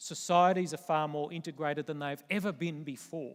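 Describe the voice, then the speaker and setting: A man with an Australian accent at a fairly high pitch and moderate pace, with ordinary pitch variation, on a very clean recording with a silent background. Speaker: retired army general, military speaker. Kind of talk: conference keynote talk. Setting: stage with audience.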